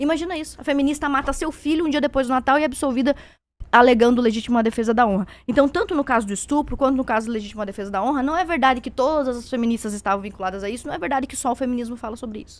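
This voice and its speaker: A woman speaks at a very fast pace in a high voice with ordinary pitch variation. Her loudness swings widely. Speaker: conservative debater. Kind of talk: heated debate.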